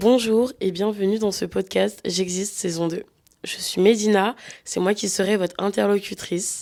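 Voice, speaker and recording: Fairly slow in pace, a woman speaks at medium pitch. Her voice carries a dark, mellow tone with fairly even intonation. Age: 20s. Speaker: podcast host. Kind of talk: scripted podcast intro.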